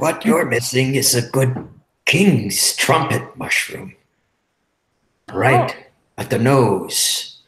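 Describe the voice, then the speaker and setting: Putting on a character voice at a medium pitch, a man speaks at a very slow pace with long, frequent pauses. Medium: actual play.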